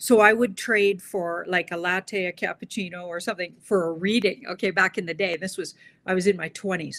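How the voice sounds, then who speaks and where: A woman speaks in a normal speaking voice at a medium pitch and a fairly quick pace, her intonation fairly even. The sound is dry and close with no echo, on a very clean recording with a silent background. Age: 60s. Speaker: tarot reader. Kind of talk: interview.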